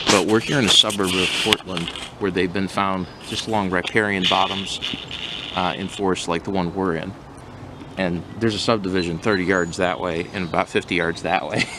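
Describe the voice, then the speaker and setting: Noticeable background noise sits behind a man with a very deep, low pitch. He speaks at a fairly quick pace in a monotone, flat way. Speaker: herping companion, salamander enthusiast. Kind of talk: casual field chat. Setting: outdoors in forest.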